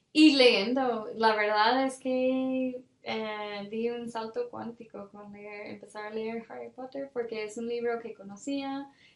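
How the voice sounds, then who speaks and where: Very slow speech from a woman with an English accent, fairly high in pitch, with hardly any pauses, fairly even intonation and big swings in loudness. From Ireland, Cork. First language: English (speaking Spanish). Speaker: development worker. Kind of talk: interview. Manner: hesitant, many fillers.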